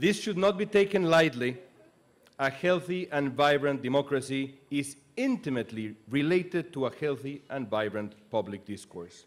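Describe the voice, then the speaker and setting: Very wide pitch swings run through a man's speech. He keeps a moderate pace. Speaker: speaker, news anchor. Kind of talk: commencement speech. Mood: earnest, serious. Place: stage. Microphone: podium.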